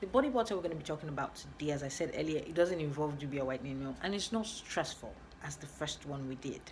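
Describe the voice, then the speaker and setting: The woman's voice is very deep and low, with ordinary pitch variation. She talks very fast, and the room echo is audible. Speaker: skincare vlogger. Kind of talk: tutorial.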